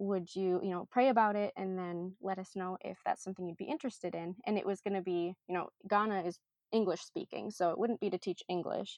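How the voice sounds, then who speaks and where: Speech with an Upper Midwest accent moves at a fairly quick pace with hardly any pauses. The intonation stays fairly even. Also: woman, medium pitch for a woman. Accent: Upper Midwest American. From Minnesota. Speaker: missionary, nonprofit development worker. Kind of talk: interview, casual chat.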